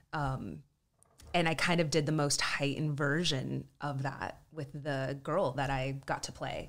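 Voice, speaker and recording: A woman speaks with a very deep, low pitch and vocal fry. Her pace is fairly slow and her intonation fairly even. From Southern California and Texas (San Diego, Dallas area). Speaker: actress and writer. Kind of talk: casual interview chat.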